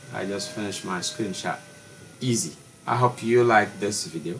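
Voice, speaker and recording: Against noticeable background noise, a man speaks slowly, at a fairly low pitch. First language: French. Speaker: tech tutorial youtuber. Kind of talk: tutorial. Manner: halting.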